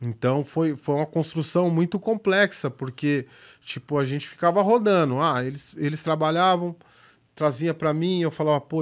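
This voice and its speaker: Using a plain, everyday voice, a man with fairly high pitch talks at a fairly slow pace with ordinary pitch variation on a very clean recording with a silent background. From São Paulo, west zone periphery (Itapevi). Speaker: graffiti artist and filmmaker. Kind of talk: casual chat.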